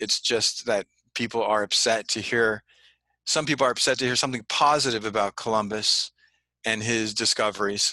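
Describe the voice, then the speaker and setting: With an American accent, a man speaks in a bright, sharp tone at very even loudness. The sound is dry and close with no echo, over a quiet background. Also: medium pitch for a man, moderate pace. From California, Santa Ana. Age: 50s. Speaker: history teacher and writer. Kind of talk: interview.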